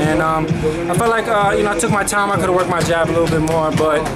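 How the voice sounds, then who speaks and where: Loud music plays in the background. The speech runs at a very fast pace. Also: man. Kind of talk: interview answer. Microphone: phone near.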